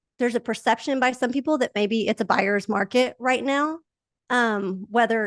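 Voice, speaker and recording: Recorded with a dry, close sound and no echo, a woman with an American accent speaks at a moderate pace with fairly even intonation. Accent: Oklahoma, mostly faint. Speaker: home builder marketing podcast co-host. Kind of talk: casual podcast discussion.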